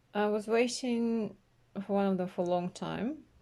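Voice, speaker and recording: A soft-spoken woman at a fairly slow pace, dark and mellow in tone, with ordinary pitch variation. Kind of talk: casual talk to camera, unboxing. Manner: quiet, soft-spoken.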